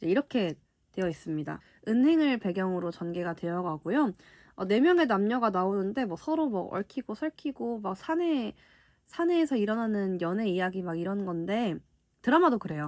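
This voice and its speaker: On a very clean recording with a silent background, a woman at medium pitch speaks at a moderate pace with very wide pitch swings. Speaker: book YouTuber. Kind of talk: casual book haul talk.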